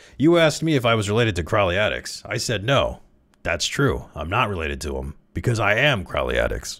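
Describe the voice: A man puts on a character voice, fairly low in pitch yet fairly bright in tone, with big pitch swings. He talks at a fairly quick pace on a very clean recording with a silent background.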